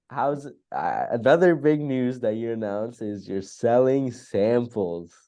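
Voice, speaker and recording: The speech moves at a fairly slow pace with hardly any pauses, in an American accent. The tone is dark and mellow, the pitch variation ordinary, and the background quiet. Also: man, medium pitch for a man. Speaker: fragrance podcast co-host. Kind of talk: casual chat.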